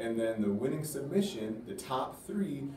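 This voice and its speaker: A man is speaking. There is audible echo from the room and a little background noise. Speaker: school teacher or staff. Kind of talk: announcement to students. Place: classroom. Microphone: camera far.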